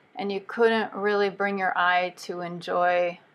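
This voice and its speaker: The speaker is a woman with a medium pitch. She talks at a fairly slow pace with ordinary pitch variation. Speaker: watercolor painting instructor. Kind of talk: tutorial. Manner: casual, halting with fillers.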